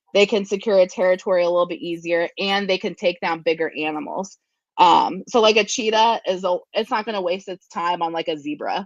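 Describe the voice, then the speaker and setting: A woman with a US Midwestern accent talks fairly quickly at medium pitch, with ordinary pitch variation. The sound is dry and close with no echo, and the background is quiet. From Ohio, Columbus area. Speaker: zookeeper and animal educator. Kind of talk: interview. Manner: many filler ums.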